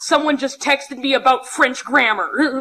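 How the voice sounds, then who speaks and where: A woman's high, raised and projected voice, with ordinary pitch variation and a moderate pace. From Alberta, western Canada. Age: 20s. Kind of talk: conference talk with humor. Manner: loud.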